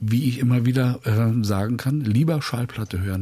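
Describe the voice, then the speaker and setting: A man's somewhat breathy, medium-pitched voice, dark and mellow in tone, at a fairly slow pace with ordinary pitch variation. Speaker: music presenter. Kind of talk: casual chat. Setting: studio. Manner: more lively since retirement.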